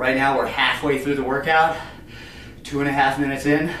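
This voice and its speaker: A man's monotone, flat delivery at a fairly quick pace, with audible room echo and light background noise. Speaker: fitness coach. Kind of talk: workout tutorial. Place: empty room. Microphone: camera far.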